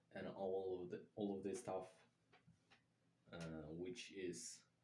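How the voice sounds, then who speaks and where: Over audible room echo, a man talks at a fairly slow pace with fairly even intonation. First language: not English. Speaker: language learner vlogger. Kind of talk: casual monologue. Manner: halting, many fillers.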